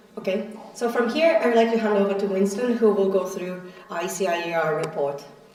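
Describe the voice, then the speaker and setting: A woman with a medium pitch and lively intonation talks at a fairly quick pace amid noticeable background noise and audible room echo. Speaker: meeting presenter. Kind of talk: conference presentation. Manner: soft-spoken; halting.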